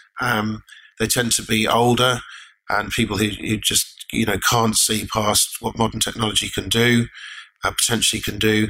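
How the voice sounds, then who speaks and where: Here a man with an English accent talks at a moderate pace in a bright, sharp, medium-pitched voice, with monotone, flat intonation and very even loudness. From Lake District, England. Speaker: mining company director. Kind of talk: interview.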